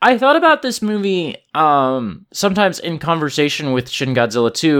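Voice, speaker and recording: A man's normal speaking voice with lively intonation at a moderate pace, in a very clean recording with a silent background. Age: 30s. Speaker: podcast host. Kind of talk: casual chat.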